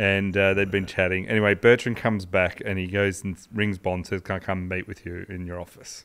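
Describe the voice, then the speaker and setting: A man with an Australian accent speaks in a very deep, low pitch, fairly quickly and with hardly any pauses. His intonation is monotone and flat against a quiet background. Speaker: podcast co-host, sports history storyteller. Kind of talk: casual storytelling chat. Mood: relaxed, amused. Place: studio. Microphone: studio mic.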